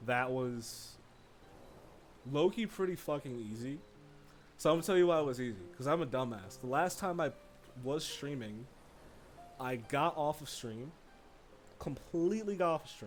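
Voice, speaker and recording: Music plays in the background as a man talks with lively intonation. He pauses long and often, and his loudness swings widely. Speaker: gaming streamer. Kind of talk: casual live stream chat. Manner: fast; casual, rambling with fillers.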